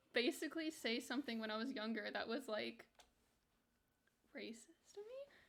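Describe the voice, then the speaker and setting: A woman with an American accent speaks in a raised, projected voice with a bright, sharp tone. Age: 20s. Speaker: video game streamer. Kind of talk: casual livestream chat.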